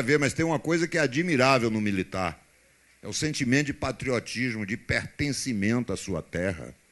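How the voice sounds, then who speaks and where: Against a quiet background, a man talks at a moderate pace, his pitch swinging very widely. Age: 60s. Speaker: politician. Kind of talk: public debate answer. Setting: university debate with audience.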